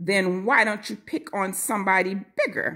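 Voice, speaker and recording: A woman's growling, put-on character voice at medium pitch, with ordinary pitch variation and a moderate pace. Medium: read story. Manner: sweet, calm.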